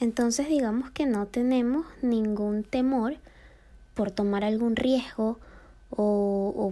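Recorded very cleanly against a silent background, a woman with a dark, mellow tone talks at a fairly slow pace with fairly even intonation. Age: 20s. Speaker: podcast host. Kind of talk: personal monologue. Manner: halting, many repetitions.

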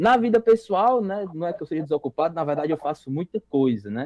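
The sound is dry and close, with no echo. A man with a dark, mellow tone makes very wide pitch swings. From Brazil, interior of Ceará. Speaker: youth organization national leader. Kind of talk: casual chat. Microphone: lagging connection.

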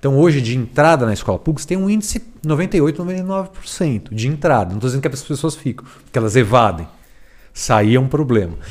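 A man speaks at a moderate pace with fairly high pitch. His pitch swings very widely. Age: 40s. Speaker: education expert and author. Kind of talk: casual chat.

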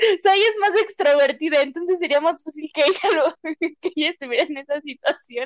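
Speaking at a fairly quick pace, a woman has an extremely high pitch with ordinary pitch variation. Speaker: podcast co-host. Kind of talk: casual chat. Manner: frequent laughter.

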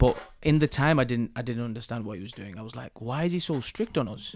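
Talking in a Mancunian accent, a man has a medium pitch and ordinary pitch variation. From Manchester, England. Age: 30s. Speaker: business coach. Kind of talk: interview conversation. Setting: studio.

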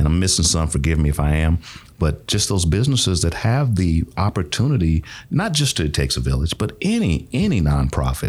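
This man has a very deep, low pitch and a somewhat breathy quality, with an American accent. He talks at a fairly quick pace. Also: lively intonation. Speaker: nonprofit executive director, podcast guest. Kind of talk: casual, warm conversational.

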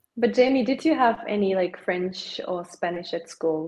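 This woman has a medium-pitched voice with ordinary pitch variation and a German accent. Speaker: podcast guest, maker. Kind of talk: casual chat.

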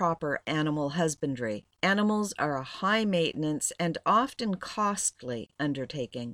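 In an unremarkable speaking voice, a woman talks at a moderate pace with lively intonation. The sound is dry and close with no echo, on a very clean recording with a silent background. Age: 60s. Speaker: blogger and homesteader. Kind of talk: reading aloud.

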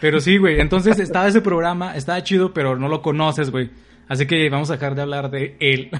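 Very fast speech from a man with a fairly high voice and ordinary pitch variation. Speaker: podcast co-host. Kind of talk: casual chat. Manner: laughing often.

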